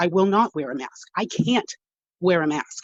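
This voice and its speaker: A woman speaks at a fairly low pitch with lively intonation. She has a plain, everyday voice, recorded dry and close with no echo. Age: 50s. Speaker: delivery driver, public commenter. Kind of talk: public comment. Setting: phone call.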